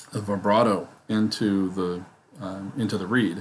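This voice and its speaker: Audible room echo colors this recording. The speaker is a man. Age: old. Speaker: book commentator. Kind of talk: casual lecture. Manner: halting, many fillers.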